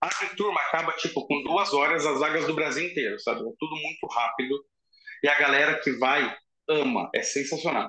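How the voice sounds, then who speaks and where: A man talks in a plain, everyday voice at a moderate pace. His pitch sits fairly high, with ordinary pitch variation. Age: 30s. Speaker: fire prevention engineer. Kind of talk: casual interview.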